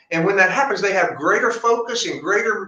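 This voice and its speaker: Audible room echo around a male speaker going at a fairly quick speed. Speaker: doctor. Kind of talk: product pitch. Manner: fast.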